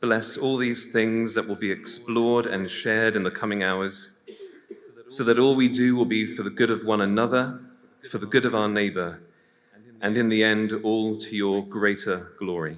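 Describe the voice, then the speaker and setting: A man speaks with an English accent, his pitch fairly low and his intonation fairly even. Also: moderate pace. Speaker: priest. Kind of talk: prayer.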